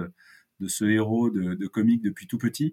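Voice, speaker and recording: With a dark, mellow tone and fairly even intonation, a man talks at a fairly low pitch in a dry, close sound with no echo. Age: 50s. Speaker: sales consultant. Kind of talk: interview. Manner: halting, many repeated words.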